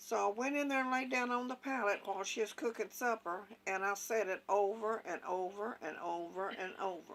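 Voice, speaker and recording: A woman's medium-pitched voice with an Appalachian accent at a fairly quick pace, ordinary pitch variation and hardly any pauses. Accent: Southern US, rural Appalachian. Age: 80s+. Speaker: elderly mother telling family stories. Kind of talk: storytelling.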